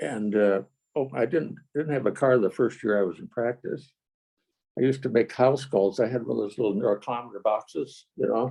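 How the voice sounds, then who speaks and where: With vocal fry in a dark, mellow tone, a man talks at a moderate pace with a medium pitch and ordinary pitch variation. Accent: American. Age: 90s. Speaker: retired chiropractor. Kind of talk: interview, casual storytelling.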